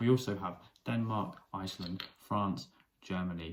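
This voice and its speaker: This man's voice sits at a very deep, low pitch. He speaks with a British accent. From UK. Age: 30s. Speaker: chef and news commentator. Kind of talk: opinion commentary.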